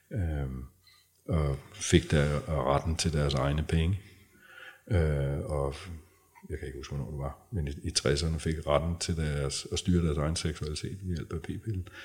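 Very deep and low, a man's voice comes with vocal fry and fairly even intonation. He speaks at a fairly slow pace, with long, frequent pauses. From North Zealand, Denmark. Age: 50s. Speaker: men's and couples therapist. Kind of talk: casual interview conversation.

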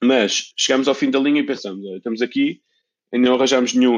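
Talking at a very fast pace, a man rushes through his words. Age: 40s. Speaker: sock brand founder. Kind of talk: casual interview. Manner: hesitant, with many repetitions.

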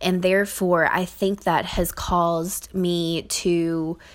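A woman speaks in a Southern US accent at a fairly low pitch. Her intonation stays fairly even. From Kentucky, US South. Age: 20s. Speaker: podcast host. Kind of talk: personal monologue. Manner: hesitant, many fillers.

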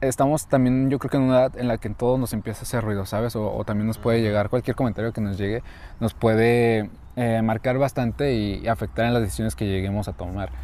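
In a Mexican accent, the speaker talks very fast with fairly even intonation and a dark, mellow tone on a very clean recording with a silent background. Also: man, medium pitch for a man. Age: 20s. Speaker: podcast co-host, university student. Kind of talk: casual chat.

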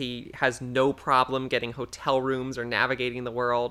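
A woman's very deep, low voice with a bright, sharp tone, in a very clean recording with a silent background. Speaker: podcast co-host. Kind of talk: casual chat.

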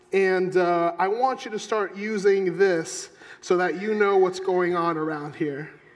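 Against noticeable background noise, a man speaks fairly slowly in a high pitch with fairly even intonation. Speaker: pastor. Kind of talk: sermon. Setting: church. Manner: self-deprecating humorous.

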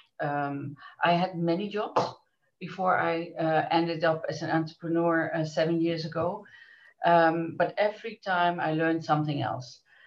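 This speaker has a Dutch accent. The intonation stays fairly even. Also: woman, fairly low pitch for a woman, moderate pace. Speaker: business association director. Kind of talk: interview.

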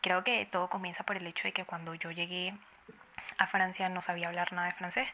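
Over noticeable background noise, a woman with a fairly low pitch talks at a fairly quick pace in fairly even intonation. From Venezuela. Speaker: emigrant sharing experience. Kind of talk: recorded testimony.

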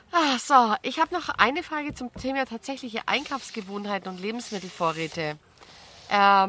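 A woman's bright, sharp, fairly high voice, with very wide pitch swings at a moderate pace. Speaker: podcast host. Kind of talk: casual interview. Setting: outdoors at a campsite. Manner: calm.

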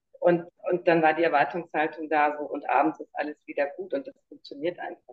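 A woman talks at a moderate pace with a very deep, low pitch. Her intonation is fairly even, but her loudness swings widely. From Munich, Bavaria. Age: 50s. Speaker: survivor of narcissistic abuse. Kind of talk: interview testimony.

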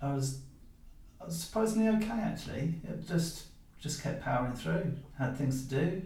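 A man's fairly high voice with lively intonation at a moderate pace, broken by long, frequent pauses over noticeable background noise. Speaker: podcast host. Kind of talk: casual interview chat.

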